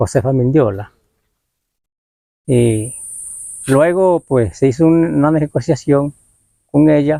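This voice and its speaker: A man's fairly high voice with a dark, mellow tone, ordinary pitch variation and a moderate pace, in a dry, close sound with no echo. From Colombia, Caribbean north (Sierra Nevada, Kankuamo community). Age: 60s. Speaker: community elder, former local footballer. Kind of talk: interview, oral history. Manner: halting.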